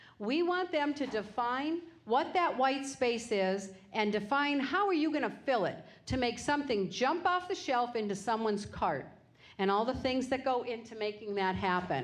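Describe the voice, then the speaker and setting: A high-pitched woman's voice with lively intonation, very even loudness and a moderate pace, plus audible room echo. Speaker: business owner. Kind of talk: lecture.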